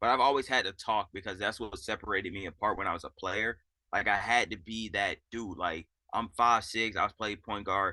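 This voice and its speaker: A loud man's voice, fairly low in pitch with a bright, sharp tone, fairly quick pace and fairly even intonation, over a quiet background. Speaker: assistant basketball coach. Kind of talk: interview. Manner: casual.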